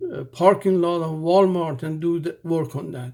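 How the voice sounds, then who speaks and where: High in pitch, a man speaks with fairly even intonation. The recording is very clean, with a silent background. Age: 70s. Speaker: religious vlogger. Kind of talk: informal sermon. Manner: halting.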